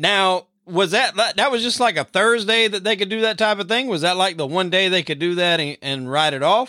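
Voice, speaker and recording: With hardly any pauses, a man projects a raised voice that is high in pitch and bright and sharp in tone, over a very clean recording with a silent background. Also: ordinary pitch variation, moderate pace. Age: 30s. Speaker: podcast host. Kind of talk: casual interview.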